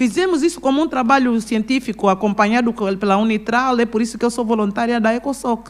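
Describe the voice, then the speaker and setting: A woman with an unremarkable speaking voice talks at a fairly quick pace, her pitch fairly high with ordinary variation and her loudness very even. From Angola, Kwanza Sul; Angola. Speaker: businesswoman and pastor; pastor. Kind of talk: interview. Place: studio. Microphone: studio mic.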